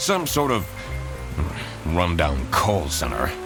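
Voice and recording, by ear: A man puts on a character voice, low in pitch and slow in pace. His pitch swings very widely over clear music in the background.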